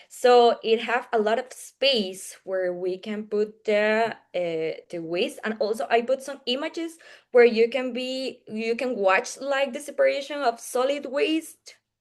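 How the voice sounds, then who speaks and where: In a Spanish accent, a woman speaks high-pitched with lively intonation against a quiet background. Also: fairly slow pace. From Costa Rica. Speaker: engineering student presenter. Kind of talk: Q&A answer. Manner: halting.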